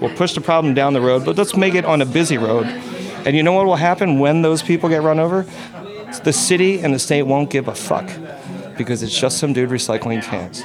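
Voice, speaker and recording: Through noticeable background noise, a man with a fairly high pitch speaks at a fairly quick pace with lively intonation. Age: 40s. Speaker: tavern owner. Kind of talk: recorded interview. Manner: passionate.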